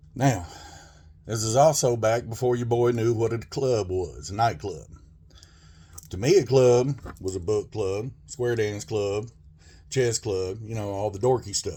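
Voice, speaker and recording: A man with a Southern US accent talks fairly slowly at a medium pitch, somewhat breathy. His pitch varies in an ordinary way, and he makes long, frequent pauses. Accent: country Southern. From Arkansas, US South. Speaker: storyteller. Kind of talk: personal storytelling.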